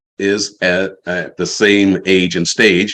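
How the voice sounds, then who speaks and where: Very deep and low, a man's voice carries an American accent. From West Virginia. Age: 70s. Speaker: retired university educator, storyteller, fly fisher. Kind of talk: virtual storytelling talk.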